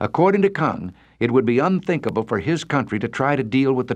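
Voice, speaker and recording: A man's medium-pitched voice with vocal fry and an American accent, moderate in pace, with very wide pitch swings over a quiet background. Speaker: radio commentator. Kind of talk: radio commentary.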